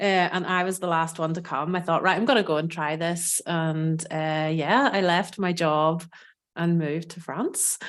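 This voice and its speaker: A woman with an Irish accent, fairly low in pitch, with fairly even intonation. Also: moderate pace. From Northern Ireland. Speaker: food and cooking educator. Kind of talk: podcast interview.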